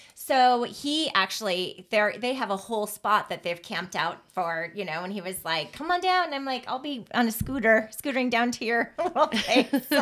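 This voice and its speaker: A woman's pitch swings very widely as she talks. Noticeable background noise is present. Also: hardly any pauses. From US Southwest. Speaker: podcast co-host. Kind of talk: casual chat. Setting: home closet studio. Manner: fast talker.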